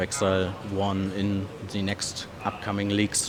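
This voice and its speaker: Fairly slow speaking, with noticeable background noise around it. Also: man. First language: German. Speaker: gaming content creator, interviewer. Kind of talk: interview. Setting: trade fair. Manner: halting, hesitant.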